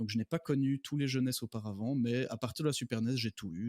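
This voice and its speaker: A man talks at a very fast pace and medium pitch, with fairly even intonation. The very clean recording has a silent background and a dry, close sound with no echo. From Belgium. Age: 30s. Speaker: doctor and gaming guest. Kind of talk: casual podcast chat.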